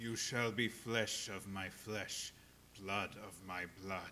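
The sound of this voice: Someone speaks at a very slow pace in a put-on character voice. Background noise is clearly audible. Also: man, fairly low pitch for a man.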